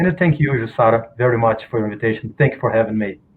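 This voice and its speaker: A man with a non-native accent, very fast pace, medium pitch and ordinary pitch variation. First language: Portuguese. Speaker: researcher of spiritist novels. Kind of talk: guest talk. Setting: video call. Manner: halting.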